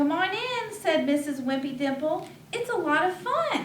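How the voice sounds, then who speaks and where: A woman puts on a squeaky character voice at an extremely high pitch, speaking at a moderate pace with a slight echo. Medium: read story. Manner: encouraging.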